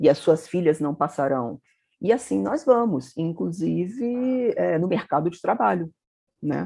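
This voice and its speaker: A woman with a dark, mellow tone and fairly low pitch speaks at a fairly slow pace, her pitch swinging very widely. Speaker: magazine editor-in-chief, journalist. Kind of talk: interview conversation.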